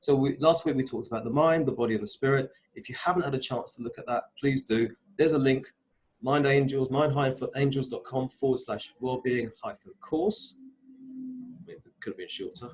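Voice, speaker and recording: A man talks at a fairly quick pace in a fairly high, somewhat breathy voice. His pitch variation is ordinary. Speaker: wellbeing coach. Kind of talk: online workshop presentation. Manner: fast.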